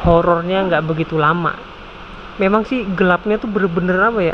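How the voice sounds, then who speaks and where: A man's fairly quick speech, delivered with fairly even intonation, sits over light background noise. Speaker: motorcycle touring vlogger. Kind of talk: casual vlog chat. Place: station. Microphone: earbuds.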